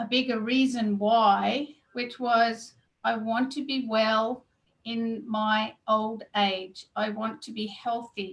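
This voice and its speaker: A woman with an Australian accent talks at a very slow pace, her pitch fairly high. Her loudness swings widely. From Australia, Gold Coast. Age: 50s. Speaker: weight loss coach. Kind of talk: interview. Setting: video call.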